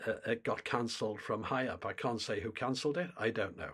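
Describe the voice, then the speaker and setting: A man with a British accent at medium pitch and a moderate pace, on a very clean recording with a silent background. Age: 70s. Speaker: climate commentator. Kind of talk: monologue to camera. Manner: halting.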